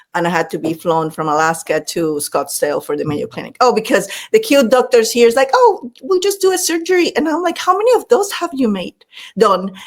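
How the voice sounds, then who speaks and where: A woman talks at a fairly quick pace in a high pitch, swinging very widely up and down. She speaks with a Latin American accent. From Panama. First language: Spanish. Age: 50s. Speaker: leadership speaker and former executive. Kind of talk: podcast interview. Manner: animated.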